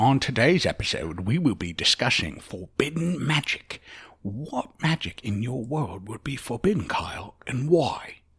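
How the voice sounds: A man speaks at a moderate pace in a gruff, put-on character voice of medium pitch.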